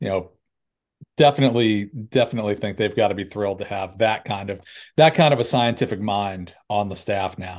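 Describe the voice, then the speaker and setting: A man's unremarkable speaking voice, fairly low in pitch with ordinary pitch variation and a fairly quick pace, against a quiet background. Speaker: golf podcast co-host. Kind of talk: casual chat.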